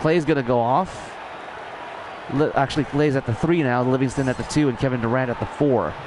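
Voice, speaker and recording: A man speaks at very even loudness with fairly even intonation over noticeable background noise. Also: medium pitch for a man. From Canada, Toronto. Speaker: amateur play-by-play commentator. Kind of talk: live commentary. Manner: halting, tripping over words.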